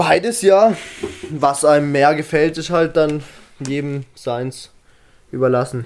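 A man speaks at a very slow pace, leaving long, frequent pauses. His voice is fairly high, with ordinary pitch variation. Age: 20s. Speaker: fitness influencer. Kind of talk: casual chat.

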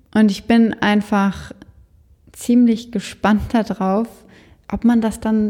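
The woman's tone is dark and mellow, somewhat breathy. She speaks at a very slow pace. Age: 20s. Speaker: death doula and funeral director. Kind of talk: interview.

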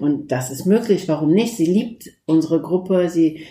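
A woman speaks at a moderate pace with a fairly low pitch and ordinary pitch variation. Her tone is dark and mellow and somewhat breathy. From Turkey. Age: 50s. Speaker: lawyer and mosque founder. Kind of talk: interview.

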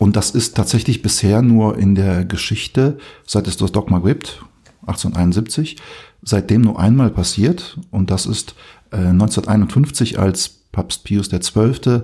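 Very slowly, a man speaks in a fairly low, somewhat breathy voice with a dark, mellow tone and ordinary pitch variation. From Poland. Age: 40s. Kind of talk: casual chat.

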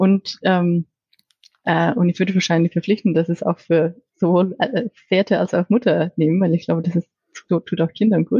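The voice is somewhat breathy and very even in loudness, broken by long, frequent pauses. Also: woman, fairly low pitch for a woman, fairly even intonation, moderate pace. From Iceland. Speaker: corporate business strategy manager. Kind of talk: interview. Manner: halting, with fillers and repetitions.

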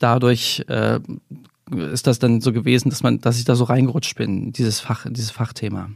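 The speaker talks at a fairly quick pace with fairly even intonation and vocal fry. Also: man. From eastern Germany (GDR), Weimar. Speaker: investigative journalist. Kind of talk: interview conversation. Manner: frequent filler hesitations.

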